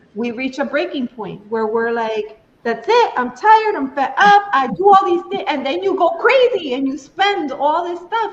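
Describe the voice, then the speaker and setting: Against noticeable background noise, a woman speaks at a fairly slow pace with very wide pitch swings. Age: 60s. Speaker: tarot reader. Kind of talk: tarot reading. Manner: conversational.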